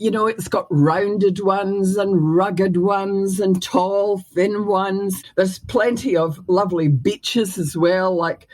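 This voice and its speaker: In a Scottish accent, a woman speaks very slowly at a medium pitch. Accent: Scottish, retained. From Scotland. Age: 70s. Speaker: former mayor and educator. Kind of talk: interview. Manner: hesitant, many fillers.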